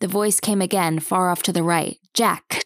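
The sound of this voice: A quiet background beneath an unforced reading voice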